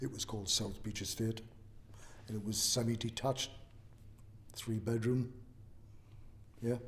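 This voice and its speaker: A man with a medium-pitched, somewhat breathy voice talks at a moderate pace with fairly even intonation and long, frequent pauses. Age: 60s. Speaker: oral history interviewee. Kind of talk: interview. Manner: hesitant, with fillers.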